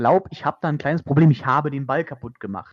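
Here is a man with a fairly high pitch. His pitch variation is ordinary. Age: 20s. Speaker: podcast host. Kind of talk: casual chat. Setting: remote recording over the internet.

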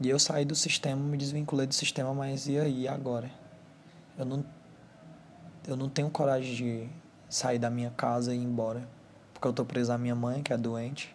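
A man speaks at medium pitch and a moderate pace with monotone, flat intonation. He leaves long, frequent pauses. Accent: Ceará. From Brazil, Ceará (Fortaleza). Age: 20s. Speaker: first-time podcaster. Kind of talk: personal monologue. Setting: alone at home, sitting on bed. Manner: halting.

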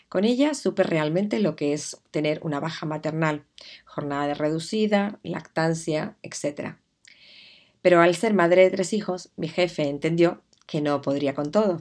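Fairly low in pitch, a woman speaks in a plain, everyday voice. Her pace is moderate and her pitch variation ordinary. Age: 50s. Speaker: podcast host, digital communication consultant. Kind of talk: podcast monologue, personal introduction.

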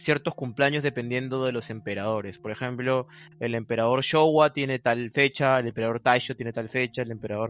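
A man speaks in an unremarkable speaking voice at medium pitch and a moderate pace. The sound is dry and close, with no echo. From Peru. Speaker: Japanese studies researcher. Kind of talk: casual interview.

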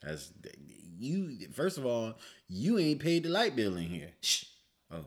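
This man's pitch is medium, with very wide swings. He goes at a fairly slow pace with long, frequent pauses. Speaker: podcast co-host. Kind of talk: casual comedic banter.

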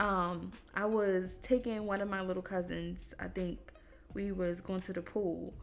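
Audible room echo carries a woman's voice as she speaks at a fairly slow pace. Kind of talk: casual chat.

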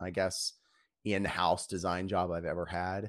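With an American accent, a man with a very deep, low pitch speaks in a dry, close sound with no echo on a very clean recording with a silent background. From Virginia. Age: 30s. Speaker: creative director. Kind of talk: casual interview. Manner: frequent fillers.

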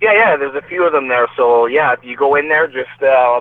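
Through noticeable background noise, a man with a fairly high pitch talks at a moderate pace with ordinary pitch variation. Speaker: boxer. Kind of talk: casual chat.

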